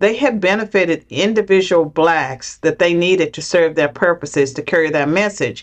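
In an American accent, a woman talks at a moderate pace in an unremarkable speaking voice, her pitch fairly low. Her pitch variation is ordinary, and the background is quiet. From US South, rural southwestern Virginia. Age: 60s. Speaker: political scientist, former professor. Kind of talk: interview.

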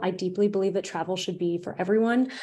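A woman of medium pitch speaks with an American accent. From United States. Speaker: travel journalist. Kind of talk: interview.

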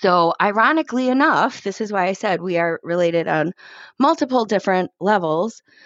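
Speaking in an American accent, a woman uses a plain, everyday voice at medium pitch. Her pace is fairly quick and her intonation lively. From Chicago, South Side. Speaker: guest sharing a DNA discovery story. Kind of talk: personal testimony.

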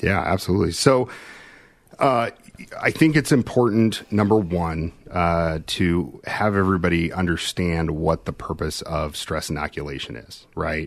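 A man with an American accent and a very deep, low pitch, at a moderate pace. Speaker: fire service instructor. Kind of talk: casual interview chat. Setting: live video call.

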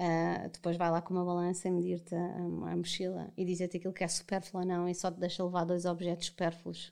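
A woman's dark, mellow voice, monotone and flat, at a fairly quick pace with hardly any pauses. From Portugal, mountain inland region. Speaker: podcast guest, mother. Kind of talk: casual chat.

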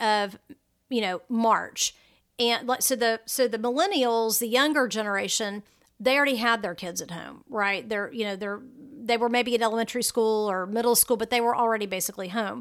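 A woman with an American accent talks fairly quickly at a fairly high pitch with ordinary pitch variation. The recording is very clean with a silent background. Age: 50s. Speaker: travel blogger and podcast host. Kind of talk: solo podcast monologue. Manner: hesitant with frequent fillers.

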